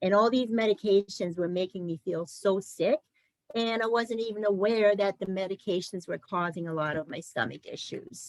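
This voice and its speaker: A woman speaks in an unremarkable speaking voice. It sits at a medium pitch with ordinary pitch variation. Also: dry, close sound with no echo. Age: 60s. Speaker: program manager and former client. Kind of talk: testimony.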